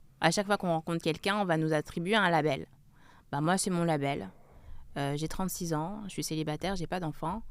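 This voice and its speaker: A woman's fairly low voice with ordinary pitch variation, on a very clean recording against a silent background. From France, Grenoble. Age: 30s. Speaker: author and journalist. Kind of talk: interview. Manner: hesitant, many fillers.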